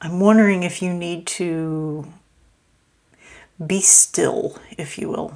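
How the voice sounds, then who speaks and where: Mumbling at a very slow pace with long, frequent pauses, a woman speaks in a fairly low pitch and fairly even intonation. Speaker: tarot reader. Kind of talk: tarot reading. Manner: halting, many fillers.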